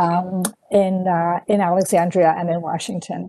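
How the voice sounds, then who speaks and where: In a dark, mellow tone, a woman speaks at a fairly slow pace. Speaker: author. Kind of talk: interview. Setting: video call. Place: home room. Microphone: earbuds.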